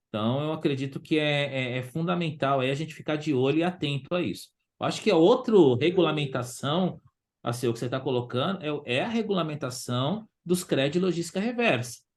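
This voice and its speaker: Talking at a fairly quick pace, a man uses a fairly high pitch and lively intonation. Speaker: waste pickers' organization leader. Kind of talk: online forum discussion. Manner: halting, many repetitions; fast.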